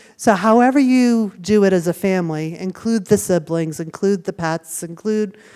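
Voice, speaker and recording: A woman's dark, mellow voice with an American accent, at a moderate pace with hardly any pauses and ordinary pitch variation, on a very clean recording with a silent background. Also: medium pitch for a woman. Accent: Boston accent, stronger when tired. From Boston, US. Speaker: university student affairs staff speaking to parents. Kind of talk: orientation presentation to parents. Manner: conversational, many 'right?' and 'um'.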